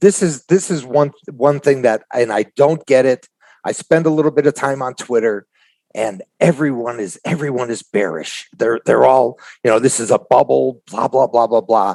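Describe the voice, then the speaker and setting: A man talks with a normal speaking voice at medium pitch. His pace is moderate and his pitch variation ordinary. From Chicago. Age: 60s. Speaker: trader. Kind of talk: casual interview chat.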